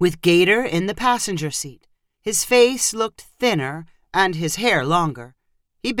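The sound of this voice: An unforced reading voice carries lively intonation against a quiet background.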